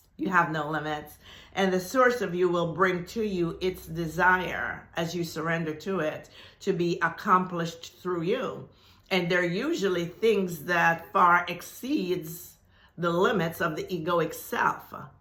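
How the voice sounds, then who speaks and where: A woman with a fairly low pitch speaks in an animated tone at a fairly slow pace, with audible room echo. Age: 70s. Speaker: spiritual teacher. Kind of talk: video announcement to viewers.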